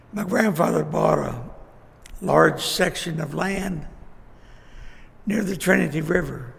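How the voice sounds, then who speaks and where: With an American accent, a man speaks at a fairly slow pace, leaving long, frequent pauses, in a room with audible echo. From Texas, Fort Worth. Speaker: local elder recounting life history. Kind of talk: oral history interview. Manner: halting.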